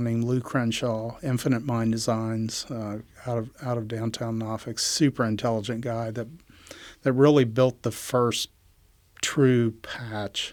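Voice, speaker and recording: With a flat, monotone intonation, this voice carries an American accent. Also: man. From West Virginia, Appalachian mountains. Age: 60s. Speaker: entrepreneur, inventor. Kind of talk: interview conversation. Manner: halting, many fillers.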